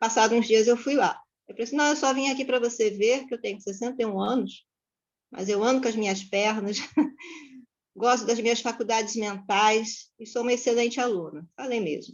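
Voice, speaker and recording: With an unremarkable speaking voice, a woman talks at a fairly quick pace. Her fairly high voice keeps fairly even intonation. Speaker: psychologist. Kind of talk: class discussion, personal testimony.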